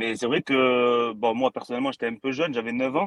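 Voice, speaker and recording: This man has an unremarkable speaking voice, medium in pitch with ordinary pitch variation. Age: 30s. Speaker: boxing YouTube creator. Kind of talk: casual chat. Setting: studio.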